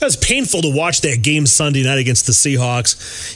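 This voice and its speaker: A man at a moderate pace, lively in intonation, with an unremarkable speaking voice. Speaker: radio host. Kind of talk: radio show banter.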